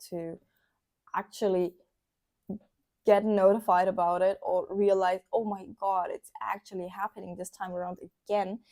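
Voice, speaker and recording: A woman with a German accent talks at a moderate pace, her pitch medium. The tone is dark and mellow, and the sound is dry and close with no echo. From Germany. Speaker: vlogger. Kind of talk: casual vlog monologue. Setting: indoors by candlelight. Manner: animated.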